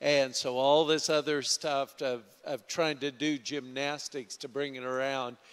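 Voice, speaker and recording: A man talks at a fairly slow pace in a normal speaking voice, pitched fairly high. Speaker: pastor. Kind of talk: church announcements. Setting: church.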